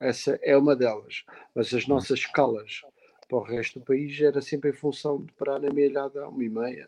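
At a moderate pace, a man speaks in a fairly high, monotone, flat voice, his loudness swinging widely. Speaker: musician. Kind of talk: casual chat.

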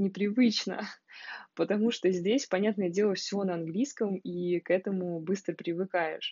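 A woman's unremarkable speaking voice at a medium pitch and moderate pace, with ordinary pitch variation. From Russia, Moscow. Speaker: podcaster. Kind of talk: audio diary. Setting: sunlit room at home.

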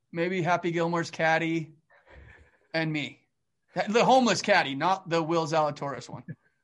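A man with a Canadian accent speaks in an animated tone at a high pitch, with ordinary pitch variation and long, frequent pauses. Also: moderate pace. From Calgary, Alberta, Canada. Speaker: stop motion animator. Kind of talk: casual interview chat.

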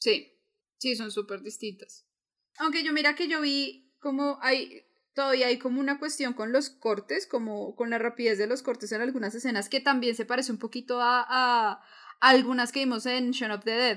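This woman's high-pitched voice moves at a moderate pace with ordinary pitch variation. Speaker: podcast co-host. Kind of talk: casual chat.

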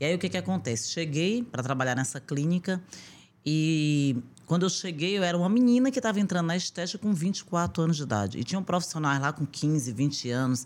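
Very clean with a silent background, the recording has a woman speaking at a fairly low pitch and a fairly quick pace, her loudness very even while her pitch swings very widely. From Brazil, Northeast (Piauí, Rio Grande do Norte). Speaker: aesthetician and entrepreneur. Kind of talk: interview conversation.

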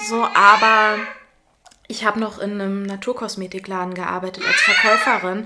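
Her intonation is monotone and flat. The woman talks at a moderate pace with a fairly high pitch. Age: 30s. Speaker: mother, former actress and theatre educator. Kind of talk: casual interview. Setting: in person with her baby.

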